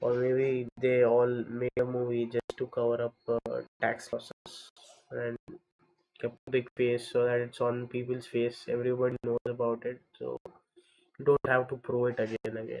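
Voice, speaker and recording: Quiet and medium in pitch, a man speaks in a monotone, flat intonation. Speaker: video editor livestreamer. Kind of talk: casual livestream talk while working. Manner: slow. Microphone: far from the camera mic.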